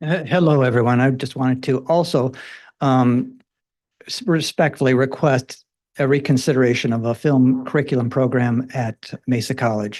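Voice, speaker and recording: A man of medium pitch, moderate pace and fairly even intonation. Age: 60s. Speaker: older college student, retired nurse. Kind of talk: public comment at board meeting. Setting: public board meeting. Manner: halting, repeats words.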